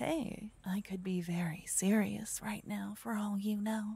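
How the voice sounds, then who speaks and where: Quiet and somewhat breathy, a woman speaks at a fairly slow pace in a soothing, playful, dark and mellow tone, with ordinary pitch variation and a dry sound with no echo. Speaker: ASMR roleplay performer. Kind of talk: whispered ASMR roleplay, intimate close-mic tone. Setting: binaural microphone recording, listener addressed in second person. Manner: hushed, slow, soothing and tender, with playful teasing warmth; cocky, teasing, animated in the adventure scenes. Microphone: studio mic.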